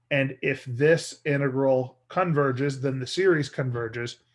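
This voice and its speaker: Against a quiet background, a man in a normal speaking voice talks at a moderate pace with fairly even intonation. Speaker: math teacher. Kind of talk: lecture.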